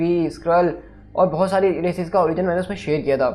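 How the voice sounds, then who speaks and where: A man's high-pitched voice, monotone and flat, at a fairly quick pace. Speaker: YouTube explainer host. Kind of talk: explainer video monologue. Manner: casual, conversational.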